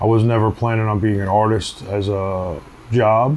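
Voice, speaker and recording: A man with a New York accent talks at a moderate pace, with a fairly low pitch and fairly even intonation, over noticeable background noise. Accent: New York City. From Queens, New York. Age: 40s. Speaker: tattoo artist. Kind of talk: documentary interview, casual storytelling. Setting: outdoors on a city street. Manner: casual, filler-heavy.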